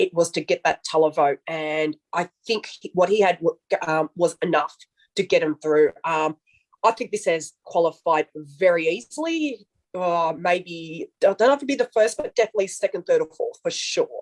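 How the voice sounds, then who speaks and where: With an Australian accent, a woman talks at a moderate pace in a fairly low voice with lively intonation, the sound dry and close with no echo. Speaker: Eurovision commentator. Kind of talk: casual panel discussion.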